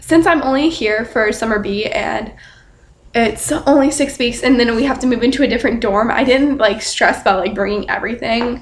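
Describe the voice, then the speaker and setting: Quiet and shaky, a woman speaks at a high pitch. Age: young. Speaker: student vlogger. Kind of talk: casual vlog. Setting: dorm room at night. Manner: quiet, hushed.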